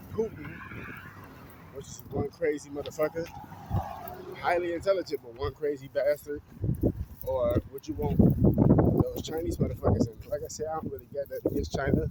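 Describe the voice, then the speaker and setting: Loudness rises and falls sharply, and the pace is fairly quick, with long, frequent pauses. The speaker has an American accent, and noticeable background noise runs underneath. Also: man. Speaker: vlogger. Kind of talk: casual monologue vlog. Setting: outdoors, walking. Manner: stuttering a little.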